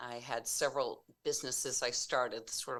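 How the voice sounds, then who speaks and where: Here a woman speaks at a moderate pace. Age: 60s. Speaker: entrepreneur and life-transition coach. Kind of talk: interview conversation. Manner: halting, with many fillers and restarts.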